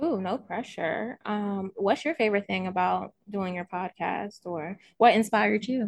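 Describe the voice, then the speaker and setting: In a normal speaking voice with an American accent, a woman talks at a fairly slow pace with hardly any pauses. Her medium pitch shows ordinary variation, and the sound is dry and close with no echo. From Baltimore, Maryland. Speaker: author and YouTuber. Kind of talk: casual interview chat.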